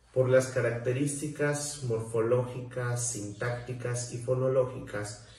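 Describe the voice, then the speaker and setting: A man speaks at a very slow pace yet with hardly any pauses, in a medium pitch and a monotone, flat intonation. Audible room echo and noticeable background noise fill the recording. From Mexico, southern Veracruz (Soteapan). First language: Nuntajɨɨyi (Zoque-Popoluca) (speaking Spanish). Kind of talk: prepared talk. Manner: formal.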